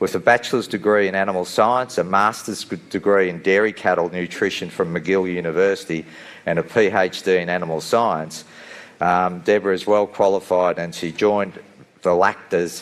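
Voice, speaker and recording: Intonation stays fairly even and the pace moderate as the speaker talks with an Australian accent. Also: man. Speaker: session moderator. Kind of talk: speaker introduction.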